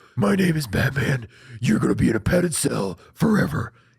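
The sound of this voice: A man puts on a character voice at medium pitch. He talks at a fairly quick pace.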